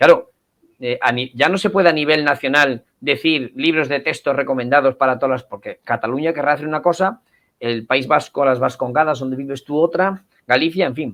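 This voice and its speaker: This man's voice sits fairly high in pitch, with ordinary pitch variation. He talks at a fairly quick pace. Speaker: cultural association representative. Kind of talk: interview. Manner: animated.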